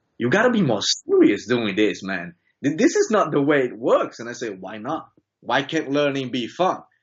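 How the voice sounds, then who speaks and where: Lively intonation at a moderate pace. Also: man. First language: Brazilian Portuguese. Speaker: student. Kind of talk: interview. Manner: halting.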